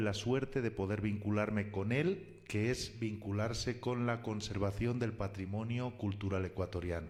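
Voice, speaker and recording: With a Spanish accent, a man speaks at a fairly low pitch with ordinary pitch variation. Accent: Spanish (Spain). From Spain. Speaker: philologist and cultural heritage collaborator. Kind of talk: radio interview.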